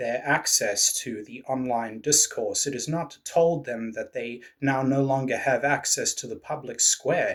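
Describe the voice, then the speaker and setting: The speaker has a British accent and a moderate pace. The recording is very clean, with a silent background. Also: man. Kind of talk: political commentary to camera.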